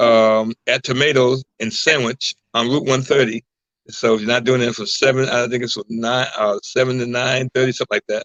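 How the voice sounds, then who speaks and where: This man's monotone, flat intonation sits at a medium pitch and a moderate pace. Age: 60s. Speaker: singer and entertainer. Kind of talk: interview. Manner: halting.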